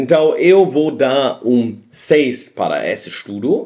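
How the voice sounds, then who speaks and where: In a non-native accent, a man speaks at a very slow pace with lively intonation. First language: not Portuguese (speaking Portuguese). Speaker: science video host. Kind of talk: casual explainer monologue. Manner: halting.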